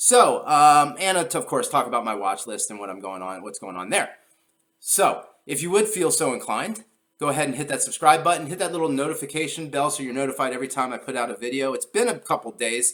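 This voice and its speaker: This man talks at a very fast pace. His fairly high voice carries some vocal fry. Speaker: investing video host. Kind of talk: stock market video commentary. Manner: frequent fillers (um, uh).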